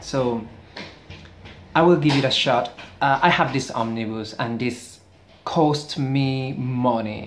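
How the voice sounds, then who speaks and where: A Spanish accent at a very slow pace, with long, frequent pauses. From Spain. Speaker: book reviewer. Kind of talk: casual video review. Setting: indoors near a street. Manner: halting, many fillers.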